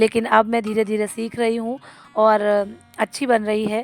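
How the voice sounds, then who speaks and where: A woman's fairly high voice at a moderate pace. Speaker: vlogger; schoolteacher. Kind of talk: casual home vlog.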